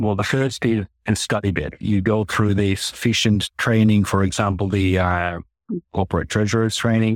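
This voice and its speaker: A man with a fairly low pitch talks at a fairly quick pace. The sound is dry and close with no echo, in a very clean recording with a silent background. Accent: Finnish. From Finland. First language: Finnish. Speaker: corporate treasurer. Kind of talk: interview.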